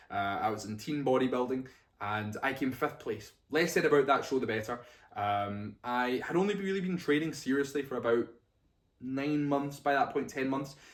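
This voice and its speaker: The pace here is moderate. It is a man, with a Scottish accent. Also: medium pitch for a man, ordinary pitch variation. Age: 20s. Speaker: bodybuilding coach and vlogger. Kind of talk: casual vlog talk to camera. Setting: talking to camera on a tripod.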